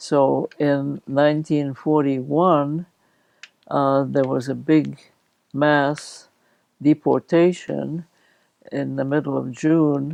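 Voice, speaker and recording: The speech is very slow, broken by long and frequent pauses. Its intonation stays flat and monotone. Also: woman, very deep, low pitch for a woman. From Latvia. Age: 80s+. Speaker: war refugee sharing memories. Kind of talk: interview.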